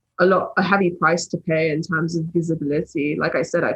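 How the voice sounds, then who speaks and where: A woman with a fairly low, somewhat breathy voice talks at a fairly quick pace with ordinary pitch variation. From England. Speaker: political YouTuber. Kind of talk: podcast interview. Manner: animated.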